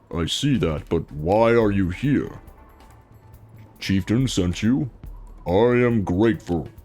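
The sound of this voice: A man puts on a guttural character voice, pitched fairly low and delivered at a fairly slow pace. He leaves long, frequent pauses while faint music plays in the background.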